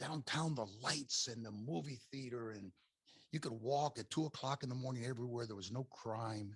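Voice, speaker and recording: A man with an American accent speaks at a moderate pace in a somewhat breathy voice with ordinary pitch variation. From Miami, Florida, US. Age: 70s. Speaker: podcaster, former business owner. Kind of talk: casual interview chat. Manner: animated storytelling.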